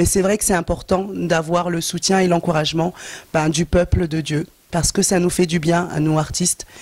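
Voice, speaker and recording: Speaking at a moderate pace, a woman keeps a fairly low pitch and a monotone, flat intonation. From France. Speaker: gospel singer. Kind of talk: interview.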